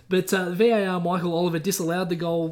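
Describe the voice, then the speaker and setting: A man with an Australian accent and a high pitch, fairly even intonation and a fairly quick pace. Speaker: sports podcast co-host. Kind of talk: casual chat.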